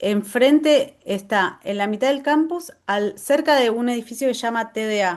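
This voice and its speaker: In a Rioplatense accent, a woman with a high pitch speaks at a fairly slow pace with lively intonation and hardly any pauses. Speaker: agroecology garden workshop presenter. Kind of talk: Q&A at end of online workshop. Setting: video call.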